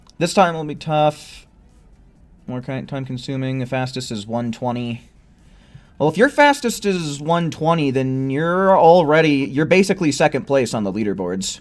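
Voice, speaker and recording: A loud man speaks at a fairly high pitch and moderate pace with lively intonation. Music runs in the background. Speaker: video game streamer. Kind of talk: live gameplay commentary. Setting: live stream at home with headset.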